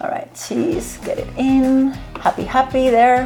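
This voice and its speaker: A woman speaks at a high pitch and a moderate pace, her tone animated. Noticeable background noise runs behind her. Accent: Spanish. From Spain. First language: Spanish. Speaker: cooking video host. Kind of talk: cooking tutorial.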